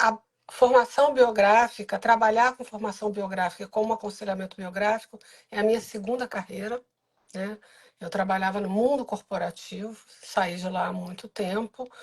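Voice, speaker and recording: This woman speaks at a moderate pace in a medium pitch, somewhat breathy, with fairly even intonation and big swings in loudness. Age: 60s. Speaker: biographical counselor and course coordinator. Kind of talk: live stream interview.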